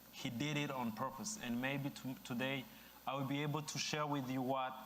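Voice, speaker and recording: There is audible room echo as a man speaks with an East African accent. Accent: East African accent, noticeable. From Rwanda. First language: Kinyarwanda or French (English is fourth language). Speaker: speaker at dedication ceremony. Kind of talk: ceremonial speech.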